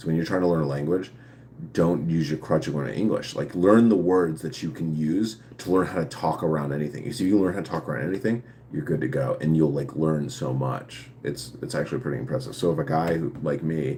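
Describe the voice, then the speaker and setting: There is noticeable background noise behind a man with a very deep, low pitch. He talks at a fairly quick pace with lively intonation. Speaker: live streamer answering viewer questions. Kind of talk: casual live stream chat. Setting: live stream. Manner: halting, with fillers and restarts; speech affected by past brain injury.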